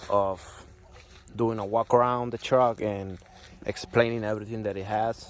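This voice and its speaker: A man speaks at a medium pitch with fairly even intonation. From Puerto Rico. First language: Spanish. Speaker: truck owner showing his car build. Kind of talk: vehicle walkaround tutorial. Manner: halting, with fillers and repeats.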